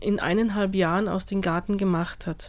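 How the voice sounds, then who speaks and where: In a normal speaking voice, a woman of medium pitch speaks at a moderate pace with fairly even intonation. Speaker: studio guest, gardening enthusiast. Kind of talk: radio interview. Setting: radio studio.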